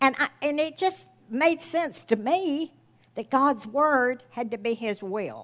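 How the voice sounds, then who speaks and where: Her pitch is high and her intonation lively. This woman talks very slowly. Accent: Southern US. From US South. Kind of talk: sermon.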